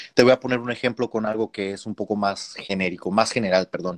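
Dry and close with no echo, a man with a fairly low pitch and an ordinary speaking voice keeps his intonation fairly even. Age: 20s. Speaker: concert pianist. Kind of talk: casual interview.

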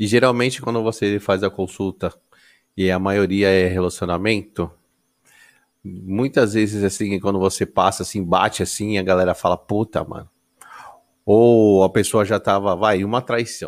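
Speaking at a moderate pace, a man with a fairly low pitch uses monotone, flat intonation and takes long, frequent pauses. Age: 30s. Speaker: podcast host. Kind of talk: casual chat.

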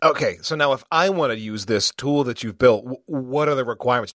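The sound is dry and close with no echo. A man with medium pitch and ordinary pitch variation speaks in a normal speaking voice. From United States. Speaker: podcast host. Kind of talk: casual interview chat.

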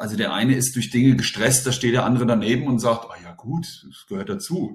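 The speech is very fast and somewhat breathy. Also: man. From Germany, bilingual German-French household. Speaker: teacher and deputy head. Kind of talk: interview.

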